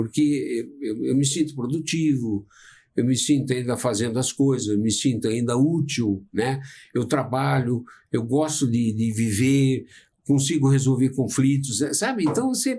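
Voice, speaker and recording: A man talks at a fairly slow pace in a dark, mellow, somewhat breathy tone. The recording is very clean, with a silent background. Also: medium pitch for a man, ordinary pitch variation. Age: 70s. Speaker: psychologist. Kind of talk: casual chat.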